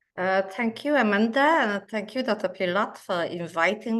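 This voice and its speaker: A woman speaks with a non-native accent. Her pitch is medium, with ordinary variation. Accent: noticeable non-native. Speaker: cardiologist and researcher. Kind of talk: lecture. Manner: slow, hesitant with many fillers.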